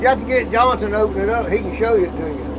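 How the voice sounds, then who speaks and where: A man speaks very fast with fairly even intonation. There is audible room echo and noticeable background noise. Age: 70s. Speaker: shrimp boat captain. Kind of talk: casual chat.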